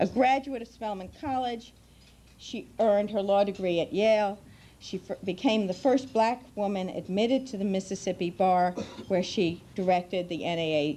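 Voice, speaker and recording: In a strong New York accent, a woman speaks at a moderate pace with lively intonation. Her voice sits at medium pitch with a dark, mellow tone. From New York State. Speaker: children's policy advocate. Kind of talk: formal introduction speech. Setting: luncheon event with large audience.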